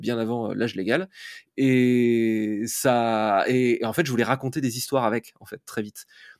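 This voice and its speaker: Speech at a moderate pace with ordinary pitch variation comes through on a very clean recording with a silent background. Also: man. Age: 40s. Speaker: fantasy author. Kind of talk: interview. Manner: hesitant, many fillers.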